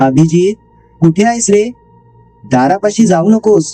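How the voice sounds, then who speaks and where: A shaky put-on character voice at middle pitch, fairly slow in pace, with a dry, close sound with no echo and faint music in the background. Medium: read story. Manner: pleading, protective.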